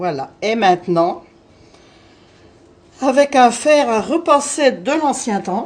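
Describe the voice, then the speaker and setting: The speech moves at a very slow pace with long, frequent pauses and very wide pitch swings. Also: woman, high pitch for a woman. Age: 60s. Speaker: home cook. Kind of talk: cooking tutorial.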